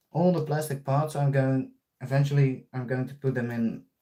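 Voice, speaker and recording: In a Dutch accent, the speaker has a dark, mellow tone and keeps a moderate pace. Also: man. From Netherlands. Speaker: RC hobbyist streamer. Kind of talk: live stream tutorial. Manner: casual, halting.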